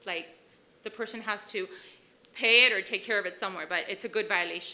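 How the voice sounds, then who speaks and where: A woman's fairly high, bright, sharp voice at a fairly quick pace with fairly even intonation. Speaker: police officer. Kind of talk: presentation. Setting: city commission chambers. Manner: loud.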